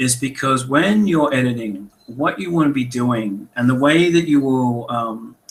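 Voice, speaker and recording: A man with an Australian accent, medium pitch and ordinary pitch variation. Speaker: author and editor. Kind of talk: webinar talk. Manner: casual, conversational.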